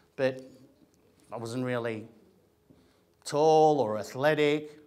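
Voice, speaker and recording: An animated man talks with an Australian accent. His pitch is medium with ordinary variation. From Australia, Greek family. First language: Greek. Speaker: actor and comedian. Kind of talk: motivational talk to an audience. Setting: room with audience. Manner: conversational, animated.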